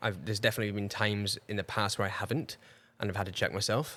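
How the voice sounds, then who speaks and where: A man speaks very fast in a Scottish accent. The recording is very clean, with a silent background. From Scotland. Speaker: breathwork specialist and ultramarathon runner. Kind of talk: podcast interview, casual chat. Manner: halting.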